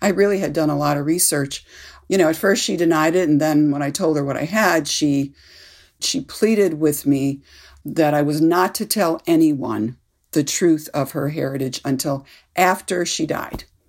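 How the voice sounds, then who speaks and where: On a very clean recording with a silent background, a woman speaks at a moderate pace in a very deep, low pitch with ordinary pitch variation. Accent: American. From US Midwest (Cleveland, Ohio). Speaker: author. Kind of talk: interview. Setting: studio.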